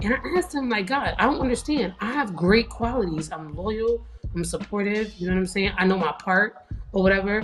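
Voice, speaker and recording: A woman with a medium pitch talks at a fairly quick pace, noticeable background noise behind her. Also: ordinary pitch variation. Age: 30s. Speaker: TikTok creator. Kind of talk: casual chat. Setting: live stream.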